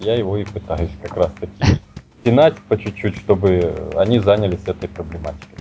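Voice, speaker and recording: Through noticeable background noise comes a man's fairly low voice, moving at a moderate pace with ordinary pitch variation. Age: 30s. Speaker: Linux company representative. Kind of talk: interview.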